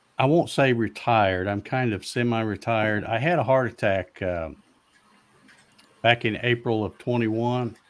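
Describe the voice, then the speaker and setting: A normal speaking voice from a man, mid-pitched, at a moderate speed. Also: ordinary pitch variation. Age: 60s. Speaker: CNC maker and livestreamer. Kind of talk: casual chat.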